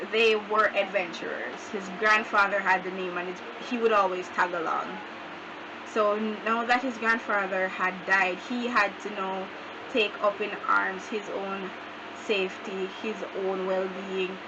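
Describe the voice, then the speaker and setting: A woman speaks at a fairly slow pace in a monotone, flat delivery, with noticeable background noise behind her. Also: medium pitch for a woman. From Jamaica. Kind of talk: casual talk to camera.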